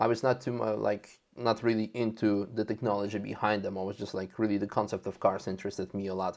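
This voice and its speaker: A man with a Russian accent speaks very fast at a fairly low pitch. His intonation is monotone and flat. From Russia (Moscow) then Netherlands. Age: 30s. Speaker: car content creator and racing driver. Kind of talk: podcast interview. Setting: video call. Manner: halting.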